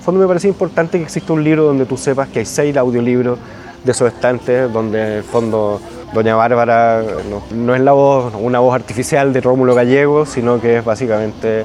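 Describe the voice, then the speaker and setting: A man with a Chilean accent at a medium pitch and fairly quick pace, ordinary pitch variation, noticeable background noise. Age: 40s. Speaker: writer. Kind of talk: interview. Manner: halting.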